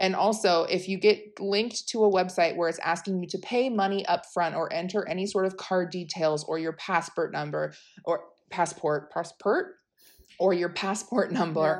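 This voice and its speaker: Against a quiet background, a woman speaks in a plain, everyday voice at a moderate pace, her medium pitch held to fairly even intonation. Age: 20s. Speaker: podcast co-host, backpacker. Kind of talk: casual chat.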